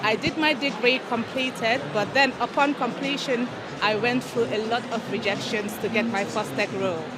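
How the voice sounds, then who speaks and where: Amid noticeable background noise and audible room echo, a woman speaks at a moderate pace in a fairly high pitch with fairly even intonation. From The Gambia. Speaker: solutions architect. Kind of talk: panel discussion.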